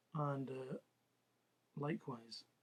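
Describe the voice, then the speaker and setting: A man of medium pitch speaks in a somewhat breathy voice. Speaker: political commentator. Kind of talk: monologue. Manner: careful, halting.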